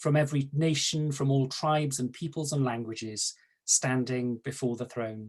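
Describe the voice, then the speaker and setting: Speaking at a moderate pace, a man sounds somewhat breathy, with fairly even intonation. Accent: Welsh. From South Wales. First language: Welsh. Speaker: archdeacon. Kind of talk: panel talk. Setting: video call.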